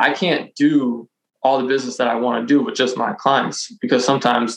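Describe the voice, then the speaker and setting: At a fairly quick pace, a man talks in an ordinary speaking voice at medium pitch with lively intonation. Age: 30s. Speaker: luxury car broker and real estate agent. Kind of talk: casual interview.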